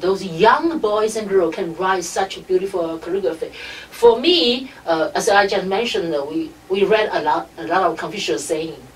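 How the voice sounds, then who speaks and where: Speaking in a Chinese accent at medium pitch, a woman makes very wide pitch swings amid noticeable background noise. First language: Mandarin Chinese. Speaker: radio station director. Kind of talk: interview. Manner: halting.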